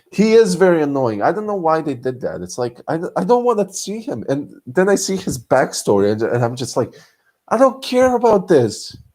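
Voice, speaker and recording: A man with a Serbian accent speaks at a moderate pace in an animated tone, his high pitch swinging very widely. The recording is very clean, with a silent background. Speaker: streamer. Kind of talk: live stream chat. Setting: lying in bed at night.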